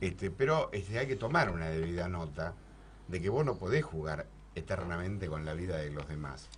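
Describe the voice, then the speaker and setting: In an Argentine accent, a man with a very deep, low pitch and a somewhat breathy voice speaks at a moderate pace with lively intonation. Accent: Rioplatense Argentine Spanish. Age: 60s. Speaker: radio host. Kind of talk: political panel discussion.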